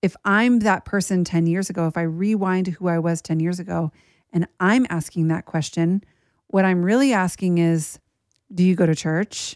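A woman with an ordinary speaking voice at medium pitch and moderate pace, dry and close with no echo, on a very clean recording over a silent background. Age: 40s. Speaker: podcast host. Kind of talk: personal monologue.

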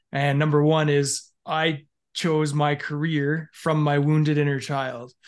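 Against a quiet background, a man with a western Canadian accent talks at a fairly slow pace, with fairly high pitch and monotone, flat intonation. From Canada, Alberta. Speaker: former police officer. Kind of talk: casual interview. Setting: video call.

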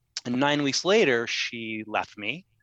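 With ordinary pitch variation and a bright, sharp tone, a man is heard in a dry, close sound with no echo over a quiet background. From Ohio, US Midwest. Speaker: dating coach and author. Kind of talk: interview.

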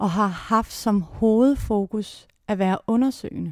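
On a very clean recording with a silent background, a woman's fairly high voice has a dark, mellow tone and fairly even intonation, in a dry, close sound with no echo. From Jutland, Denmark (near Viborg). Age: 40s. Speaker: actress and theatre maker. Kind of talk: interview. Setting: her office. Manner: hesitant, many filler sounds.

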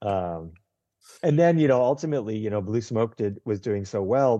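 Against a quiet background, a man speaks with an American accent. His fairly low voice has a dark, mellow tone and lively intonation. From US Northeast. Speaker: hospitality consultant. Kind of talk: casual interview.

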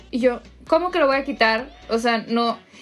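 Noticeable background noise sits behind a woman speaking at a moderate pace. Her pitch is high, with ordinary variation. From Monterrey, northern Mexico. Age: 20s. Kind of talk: interview.

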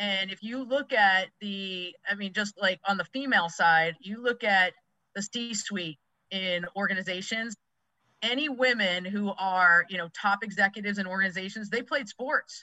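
With an American accent, a woman talks in an ordinary speaking voice at medium pitch, moderate pace and ordinary pitch variation. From Massachusetts, US. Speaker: youth sports coach, former college athlete. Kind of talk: podcast interview.

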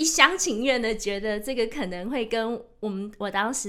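A woman's fairly high voice with ordinary pitch variation and audible room echo. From Taiwan, Taichung. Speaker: author and sustainability professional. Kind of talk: casual chat. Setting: studio.

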